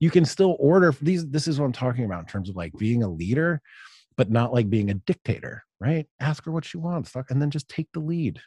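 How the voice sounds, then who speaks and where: A somewhat breathy man with an American accent, fairly high pitch, very wide pitch swings, a dark, mellow tone, and a fairly quick pace, in a dry, close sound with no echo and a quiet background. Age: 40s. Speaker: writer and podcaster. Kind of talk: interview conversation.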